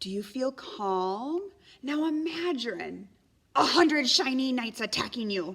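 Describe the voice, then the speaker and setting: A woman uses a put-on character voice, high and squeaky, with very wide pitch swings. She talks at a fairly slow pace. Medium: read story. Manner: stuttering, nervous.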